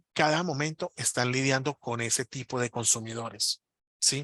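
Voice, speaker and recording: Recorded dry and close with no echo, a man speaks at a medium pitch. His tone is bright and sharp against a quiet background. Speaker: marketing instructor. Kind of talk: webinar lecture. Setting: online webinar. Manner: fast.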